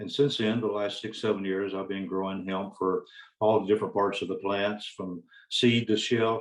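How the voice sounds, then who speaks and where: He speaks with a Southern US accent. His intonation stays fairly even. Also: fairly low pitch for a man, moderate pace. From US South (Alabama). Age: 70s. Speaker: hemp farmer. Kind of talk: panel presentation.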